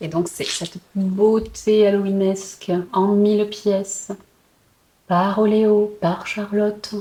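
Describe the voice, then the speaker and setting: Very slow speech comes out in a flat monotone. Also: woman, medium pitch for a woman. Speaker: puzzle and book vlogger. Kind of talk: casual vlog. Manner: hesitant, many fillers.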